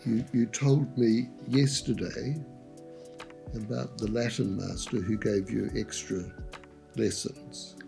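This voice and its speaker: With music in the background, a man speaks very slowly at a medium pitch, taking long, frequent pauses, with ordinary pitch variation. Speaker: doctor. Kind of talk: interview answer.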